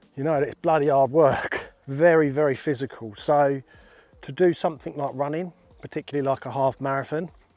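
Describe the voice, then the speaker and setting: The man has a fairly high pitch and fairly even intonation. His voice sounds dry and close, with no echo. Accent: English. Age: 40s. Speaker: plasterer and fitness vlogger. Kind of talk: casual vlog talk. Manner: conversational with fillers.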